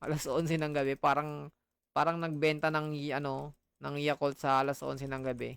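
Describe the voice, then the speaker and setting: Speaking fairly quickly in a flat monotone, a man uses a fairly high pitch. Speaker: gaming streamer. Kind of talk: casual gaming stream chat.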